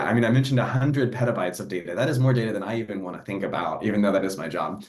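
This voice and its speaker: A man speaks with vocal fry, and audible room echo is present. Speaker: NASA program executive for data. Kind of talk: panel discussion. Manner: fast.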